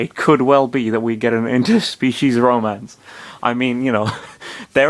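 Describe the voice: Fairly even intonation in plain reading aloud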